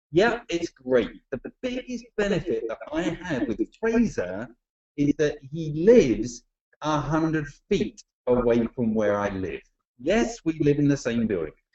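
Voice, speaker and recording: In an English accent, a man talks at a fairly slow pace. His fairly high pitch swings very widely. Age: 40s. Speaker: network marketing trainer. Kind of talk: webinar presentation. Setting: online webinar. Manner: jovial.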